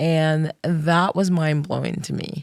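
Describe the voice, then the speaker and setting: Someone speaks with a Trinidadian accent. The sound is dry and close with no echo, on a very clean recording against a silent background. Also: woman. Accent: Trinidadian, noticeable. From Trinidad, Caribbean. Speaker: school social worker. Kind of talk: interview.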